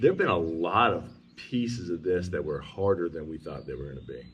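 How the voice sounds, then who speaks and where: With a very deep, low pitch, a man talks at a fairly quick pace in a somewhat breathy voice. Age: 50s. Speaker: homesteader building a house. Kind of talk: casual chat.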